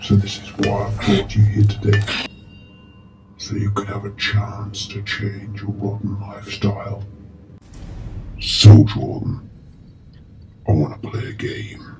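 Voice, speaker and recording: A man speaks slowly with long, frequent pauses, his fairly low voice flat and monotone. His tone is menacing, and his loudness swings widely. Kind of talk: horror villain monologue. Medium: short film. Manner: slow, cold, menacing.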